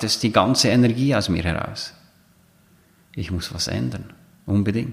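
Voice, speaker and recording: This man has a normal speaking voice with a fairly low pitch. He talks at a fairly slow pace. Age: 40s. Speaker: coach and podcast host. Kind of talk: solo monologue podcast.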